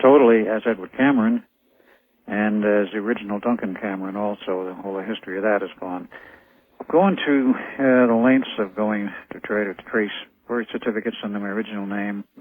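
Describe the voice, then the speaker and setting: A man's fairly low voice, fairly even in intonation, at a fairly quick pace. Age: 60s. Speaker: radio guest. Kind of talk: interview. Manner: halting.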